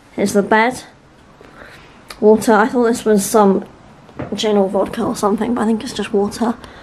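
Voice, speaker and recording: At a moderate pace, a woman speaks in a fairly high pitch with monotone, flat intonation over noticeable background noise. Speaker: travel vlogger. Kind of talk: vlog narration.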